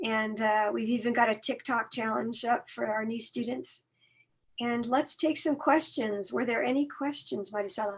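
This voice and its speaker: A woman at a moderate pace, fairly high in pitch, with ordinary pitch variation. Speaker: college outreach staff. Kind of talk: online information workshop.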